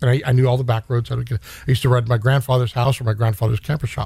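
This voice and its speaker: A man with an American accent talks at a very fast pace, his pitch medium and his intonation fairly even. His tone is dark and mellow, and somewhat breathy. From Stockton, California. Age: 50s. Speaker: gun shop owner and navy veteran. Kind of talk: casual interview chat.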